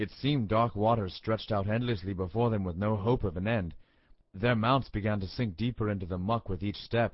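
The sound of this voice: This clip features an unforced reading voice.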